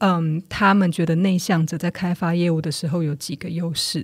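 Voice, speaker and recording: A somewhat breathy voice at a fairly slow pace in a very clean recording with a silent background. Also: woman. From Taiwan. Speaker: nonprofit manager and author. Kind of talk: podcast interview.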